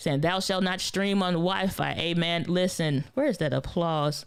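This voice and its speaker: A woman with a fairly low pitch, an animated tone, ordinary pitch variation and a moderate pace. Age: 30s. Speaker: YouTube creator and gear reviewer. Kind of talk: live stream Q&A. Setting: livestream. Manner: casual, animated.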